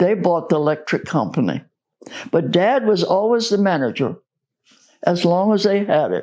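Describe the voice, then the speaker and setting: A woman with an American accent speaks at a moderate pace in a fairly low voice, with vocal fry, lively intonation and long, frequent pauses. The recording is very clean with a silent background. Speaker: oral history interviewee, church member. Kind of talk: oral history interview answer.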